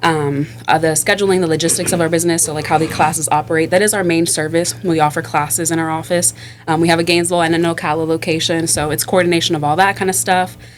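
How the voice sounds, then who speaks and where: In an American accent, the speaker goes at a very fast pace with hardly any pauses. There is noticeable background noise. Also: woman, fairly low pitch for a woman. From Florida (Miami). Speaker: operations director and community group secretary. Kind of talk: casual podcast chat. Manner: animated.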